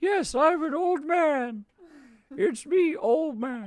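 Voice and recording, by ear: Using a put-on character voice, a woman speaks at a high pitch with lively intonation. Her pace is very slow.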